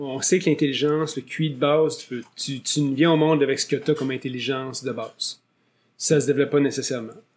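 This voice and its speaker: A man's plain, everyday voice, fairly high in pitch, with fairly even intonation and a fairly quick pace. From Quebec. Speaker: podcast host and real estate agent. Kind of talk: interview. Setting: studio. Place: studio. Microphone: studio mic.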